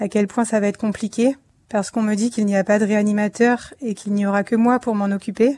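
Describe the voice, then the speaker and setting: A woman speaks at a moderate pace in a fairly high pitch and a dark, mellow tone. Her intonation is monotone and flat, and the background is quiet. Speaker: emergency doctor. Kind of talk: testimony.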